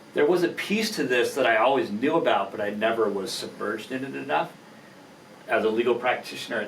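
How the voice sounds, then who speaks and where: A man's medium-pitched voice with lively intonation, audible room echo and noticeable background noise. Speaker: attorney and entrepreneur. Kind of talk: podcast interview. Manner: halting.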